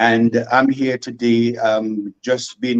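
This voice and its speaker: Recorded dry and close with no echo, a man speaks in a Vincentian accent. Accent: Vincentian Creole English. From St Vincent and the Grenadines. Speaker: comedy skit creator. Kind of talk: radio interview. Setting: radio studio guest.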